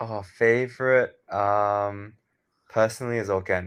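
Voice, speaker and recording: A man with an Australian accent speaks with fairly even intonation over a quiet background. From Australia, Sydney. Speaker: software founder. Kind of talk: interview. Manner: monotone.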